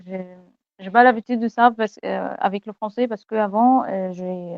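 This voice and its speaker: A woman speaks with an Egyptian accent at a medium pitch. Her pace is fairly slow and her intonation fairly even. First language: Egyptian Arabic (speaking French). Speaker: university student, language learner. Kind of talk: interview. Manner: halting, many hesitations and repetitions; switches between French and English.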